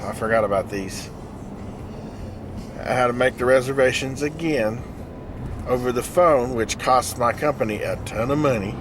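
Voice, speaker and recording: Over noticeable background noise, a man talks at a moderate pace with long, frequent pauses. His medium-pitched voice keeps a fairly even intonation. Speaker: travelling equipment installer. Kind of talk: driving vlog monologue. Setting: in a car. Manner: casual, conversational.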